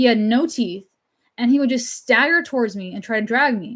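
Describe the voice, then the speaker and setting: A very clean, silent-background recording of a voice with an American accent. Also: woman. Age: 30s. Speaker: livestreamer and painter. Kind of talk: casual livestream chat reading comments.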